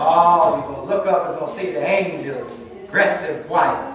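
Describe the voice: Inside strong room echo, a man talks at a moderate pace in a fairly high pitch with a fairly bright tone and ordinary pitch variation.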